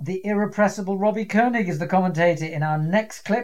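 A man with a British accent speaks in a high pitch with lively intonation. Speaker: quiz host. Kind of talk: quiz show hosting, casual and witty. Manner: wry, good-humoured.

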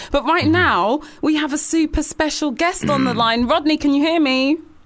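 With a London accent, a woman speaks at a fairly quick pace. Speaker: radio host and DJ. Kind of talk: casual radio chat. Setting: studio. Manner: animated.

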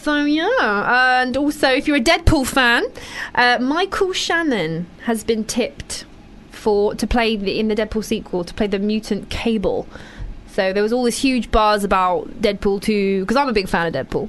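A woman with a British accent speaks at a moderate pace, her fairly high pitch carried by lively intonation. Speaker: radio host. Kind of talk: casual chat. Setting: studio. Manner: animated.

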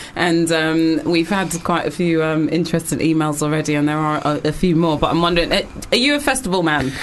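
Amid noticeable background noise, a woman with a fairly low pitch speaks at a fairly quick pace, with very even loudness and fairly even intonation. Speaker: radio host. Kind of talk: radio show banter. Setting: studio.

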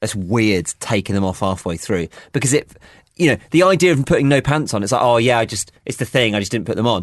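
Against a quiet background, a man of medium pitch talks at a very fast pace in a British accent. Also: lively intonation. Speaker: radio host. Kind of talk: casual chat.

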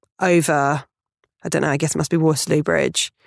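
In a dry, close sound with no echo, a woman with a southern English accent and a very deep, low pitch speaks at a fairly quick pace. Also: very clean recording, silent background. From Portsmouth, southern England. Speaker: comedian and podcaster. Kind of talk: casual interview chat.

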